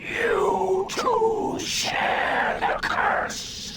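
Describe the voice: In a cartoonish character voice, a man speaks with slight echo and loud background noise.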